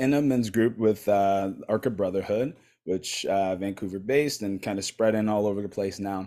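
A man speaks in a fairly low pitch with a dark, mellow tone. He leaves hardly any pauses. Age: 30s. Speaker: men's coach. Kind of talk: casual interview conversation; guided meditation.

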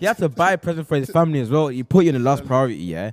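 The pace is very fast and the tone slightly mellow. Big pitch swings run through the delivery. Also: man, fairly high pitch for a man.

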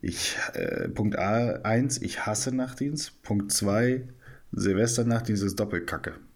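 A man talks very slowly, and his words echo audibly around the room. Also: medium pitch for a man, ordinary pitch variation. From northern Germany. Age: 30s. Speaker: psychiatric nurse. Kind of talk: casual chat, storytelling.

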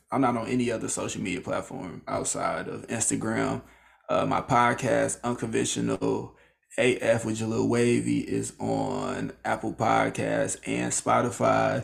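A man with a very deep, low pitch talks at a fairly slow pace, his pitch swinging very widely. Noticeable background noise runs behind him. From small town in Illinois. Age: 20s. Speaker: podcaster and media worker. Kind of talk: casual interview. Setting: video call from his bedroom.

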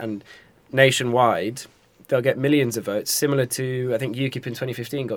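A man speaks in a London accent. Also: very clean recording, silent background. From North London. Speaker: journalism student podcast host. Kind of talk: casual chat.

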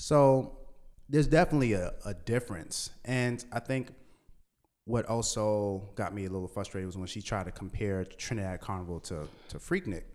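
On a very clean recording with a silent background, a man with a normal speaking voice and a fairly low pitch talks at a moderate pace with lively intonation. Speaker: DJ and podcast host. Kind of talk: casual conversation.

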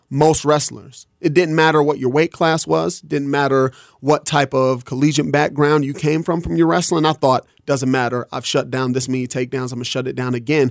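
A man talks at a moderate pace in a normal speaking voice, fairly high in pitch with ordinary pitch variation. The sound is dry and close, with no echo. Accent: American. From Detroit, Michigan. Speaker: MMA fighter. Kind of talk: radio interview. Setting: studio.

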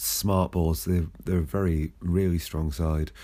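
On a very clean recording with a silent background, a man speaks very slowly in a very deep, low voice with a dark, mellow tone and ordinary pitch variation. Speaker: football club podcast host. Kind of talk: solo podcast recap of a match. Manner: slow, hesitant, filler-heavy.

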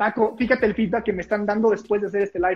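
A man with a high pitch talks at a very fast pace in a monotone, flat intonation. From Mexico, Puebla. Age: 20s. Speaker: public speaking coach. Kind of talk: casual interview chat.

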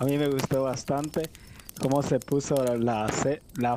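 A man speaks at a very slow pace with fairly even intonation. Noticeable background noise runs underneath. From El Salvador. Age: 20s. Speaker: game contest winner. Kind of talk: casual interview chat.

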